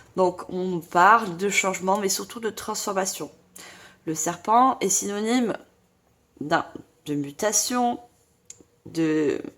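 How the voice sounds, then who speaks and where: The voice is loud. It moves at a very slow pace. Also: woman, long, frequent pauses. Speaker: tarot reader / medium. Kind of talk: tarot reading guidance. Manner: trying to speak loudly.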